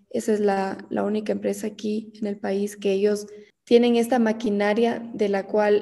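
A woman with a plain, everyday voice talks at a fairly slow pace, medium pitch and fairly even intonation. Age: 20s. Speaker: entrepreneur, brand founder. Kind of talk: interview.

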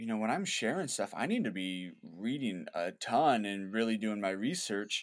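A man's fairly low, fairly slow, an ordinary speaking voice, with ordinary pitch variation, in a very clean recording with a silent background. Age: 20s. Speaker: founder of an outdoor faith video channel. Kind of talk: casual interview chat.

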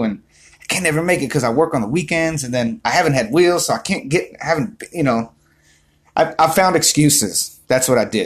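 A man with a fairly high pitch speaks at a fairly quick pace, his animated, somewhat breathy delivery carried by lively intonation. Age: 30s. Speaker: motivational vlogger. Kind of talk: motivational monologue.

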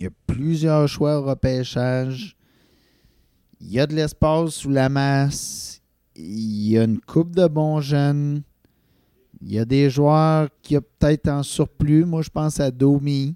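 A man with a fairly high pitch speaks very slowly, leaving long, frequent pauses. His tone is dark and mellow, his pitch varies in an ordinary way, and the sound is dry and close with no echo. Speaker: sports podcast co-host. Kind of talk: casual chat.

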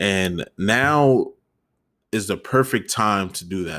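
A man speaks with ordinary pitch variation on a very clean recording with a silent background. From New York, the Bronx. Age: 20s. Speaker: podcast host. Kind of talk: casual chat.

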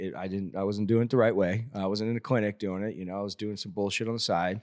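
A very clean recording with a silent background, in an American accent. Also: man. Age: 40s. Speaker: health clinic owner. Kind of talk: casual chat.

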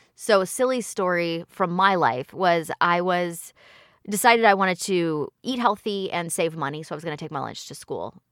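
Here is a woman with an ordinary speaking voice, fairly low in pitch with ordinary pitch variation. She talks at a moderate pace with big swings in loudness. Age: 40s. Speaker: hypnotherapist and life coach. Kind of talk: casual interview.

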